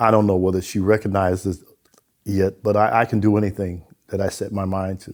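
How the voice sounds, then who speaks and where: Monotone and flat, a man with an American accent talks at a fairly quick pace in a fairly low pitch. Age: 80s+. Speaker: retired transit superintendent. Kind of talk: interview.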